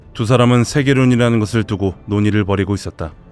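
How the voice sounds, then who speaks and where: Over music in the background, a man speaks at a very fast pace with fairly even intonation. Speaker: voice actor. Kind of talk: game lore story narration.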